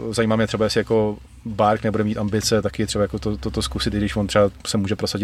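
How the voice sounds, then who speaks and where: A man speaks at a very fast pace. His voice is fairly low in pitch. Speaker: MMA podcast co-host. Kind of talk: casual chat.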